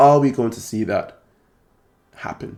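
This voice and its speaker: A man is speaking. Music plays in the background. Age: 30s. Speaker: card collecting YouTuber. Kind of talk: video monologue.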